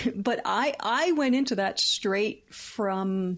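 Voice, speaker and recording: A woman with a Philadelphia accent and lively intonation. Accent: American, Philadelphia. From US, Philadelphia. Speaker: comedian and comedy writer. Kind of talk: casual interview chat. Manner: halting, many restarts.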